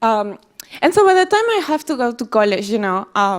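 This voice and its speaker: A woman with a Peruvian accent speaks fairly slowly at a fairly high pitch, her voice swinging very widely in pitch. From Peru, small town south of Lima. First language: Spanish. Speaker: tech company employee giving a talk. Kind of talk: speech to audience. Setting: stage with audience.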